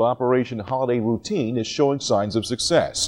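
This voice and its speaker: At a fairly quick pace, a man speaks in a plain, everyday voice with an American accent and medium pitch. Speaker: television news anchor. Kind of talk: television news anchor read.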